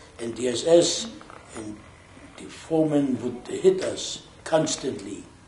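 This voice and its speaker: A man with a German accent speaks at a fairly high pitch with ordinary pitch variation. Audible room echo and noticeable background noise surround him. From Germany, Berlin. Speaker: Holocaust survivor. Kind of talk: testimony.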